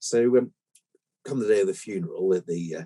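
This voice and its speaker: A man talks at a moderate pace in a dry, close sound with no echo. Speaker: podcast host. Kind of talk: joke telling on podcast.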